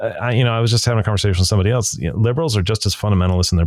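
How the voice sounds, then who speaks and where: Somewhat breathy, a man talks at a fairly low pitch with ordinary pitch variation. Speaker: pastor and podcast host. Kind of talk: casual interview chat.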